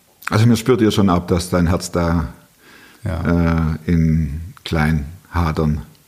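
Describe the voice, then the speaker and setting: Very slow and very even in loudness, a man talks with a very deep, low pitch and a slight Swabian accent. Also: ordinary pitch variation. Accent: light Swabian. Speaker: podcast host. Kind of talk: interview conversation.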